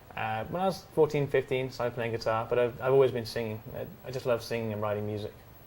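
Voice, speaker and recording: A man's medium-pitched voice in an English accent, very fast with hardly any pauses and ordinary pitch variation. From England. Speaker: student singer-songwriter. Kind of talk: interview. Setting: TV studio on location at a hotel. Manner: hesitant.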